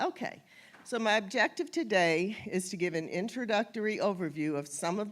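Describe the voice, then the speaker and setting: An unremarkable speaking voice moves at a moderate pace with lively intonation, on a very clean recording with a silent background. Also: woman. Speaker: genealogy presenter. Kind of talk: lecture.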